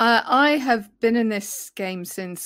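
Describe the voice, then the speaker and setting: This woman speaks with a British accent. Her intonation is lively. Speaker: film journalist and podcaster. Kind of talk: casual interview chat. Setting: video call.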